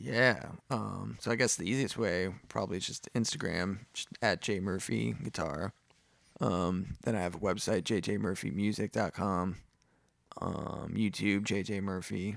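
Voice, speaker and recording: With an American accent, the speaker uses lively intonation and vocal fry at a fairly slow pace. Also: man, very deep, low pitch for a man. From upstate New York. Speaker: guitarist. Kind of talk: casual chat.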